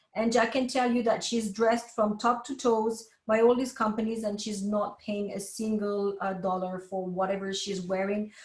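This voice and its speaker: A somewhat breathy voice in a French accent, at a moderate pace with fairly even intonation. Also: woman. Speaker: professor. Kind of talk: lecture.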